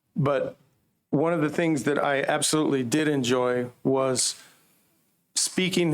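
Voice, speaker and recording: With a normal speaking voice, a man talks at a fairly high pitch and with fairly even intonation. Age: 60s. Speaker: campus minister. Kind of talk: public comment.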